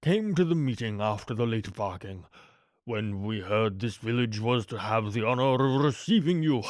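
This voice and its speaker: A put-on character voice comes at a moderate pace in a very clean recording with a silent background. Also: man. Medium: read story. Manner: polite, formal, gracious.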